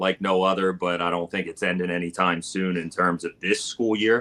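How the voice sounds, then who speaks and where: Heard in a dry, close recording with no echo, the voice has a bright, sharp tone, a South Jersey accent, and flat, monotone intonation at a moderate pace. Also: man. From South Jersey, US. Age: 40s. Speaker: high school teacher and barbecue content creator. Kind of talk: casual interview chat. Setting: live video stream.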